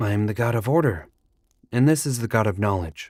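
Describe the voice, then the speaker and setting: A put-on character voice moves at a fairly quick pace on a very clean recording with a silent background. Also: man, medium pitch for a man. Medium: audio drama. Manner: formal, literal.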